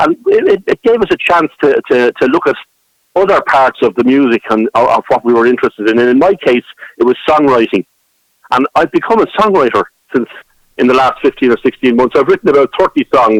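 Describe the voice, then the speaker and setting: Here a man with a Dublin accent speaks at a fairly quick pace. His loudness stays very even, and the sound is dry and close with no echo. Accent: Irish (Dublin). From Dublin, Ireland. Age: 60s. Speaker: traditional musician and songwriter. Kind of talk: radio interview. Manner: halting, many repetitions.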